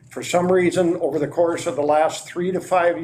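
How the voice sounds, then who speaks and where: Audible room echo surrounds a man's voice. His pitch is fairly high and his intonation fairly even. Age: 70s. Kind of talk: council meeting presentation. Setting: council meeting, on camera.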